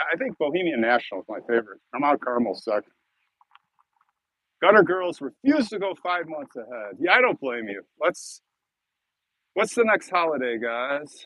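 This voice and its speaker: A man with an American accent at a moderate pace, with long, frequent pauses, fairly high pitch, very wide pitch swings and big swings in loudness. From Chicago, US Midwest. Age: 60s. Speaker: cemetery video creator and live streamer. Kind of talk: live stream chat with viewers. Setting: outdoors in a cemetery. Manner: casual, rambling, halting.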